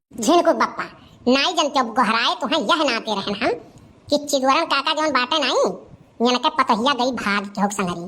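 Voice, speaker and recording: A cartoonish character voice at a moderate pace. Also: female-sounding voice, high pitch for a woman. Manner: talkative, rustic.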